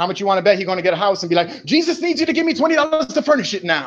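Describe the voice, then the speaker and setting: A man with an American accent talks in an animated tone at a very fast pace, his pitch swinging very widely against a quiet background. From New York, South Bronx. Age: 40s. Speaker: livestreamer. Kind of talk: heated rant. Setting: livestream on laptop.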